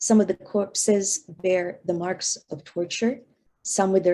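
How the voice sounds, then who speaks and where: Speaking at a fairly slow pace with a Filipino accent, a woman uses ordinary pitch variation and a dark, mellow tone. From Philippines, Manila. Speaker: professor. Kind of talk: lecture. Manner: halting.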